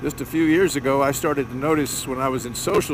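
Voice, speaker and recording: A man talks fairly quickly at a medium pitch. His pitch varies in an ordinary way, and background noise is noticeable. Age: 70s. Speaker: motovlogger. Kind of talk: vlog monologue. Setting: riding a motorcycle.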